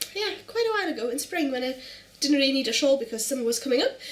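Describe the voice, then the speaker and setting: High-pitched female voice in a German accent. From Germany. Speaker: knitting podcaster. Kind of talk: casual show-and-tell vlog. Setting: at home on the couch. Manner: fast.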